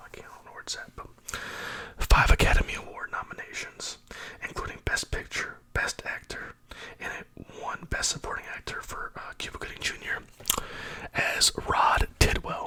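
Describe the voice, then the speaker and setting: Whispering with long, frequent pauses and big swings in loudness, a man is heard over noticeable background noise. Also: moderate pace. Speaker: ASMR YouTuber. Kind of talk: ASMR movie talk to camera, casual and conversational. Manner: soft-spoken, whispered.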